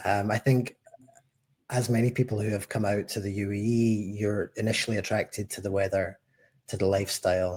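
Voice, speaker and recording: A man with a Scottish accent talks at a fairly quick pace in a fairly low pitch, his intonation monotone and flat. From Scotland, Glasgow. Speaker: head of tax at a tech company. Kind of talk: podcast interview.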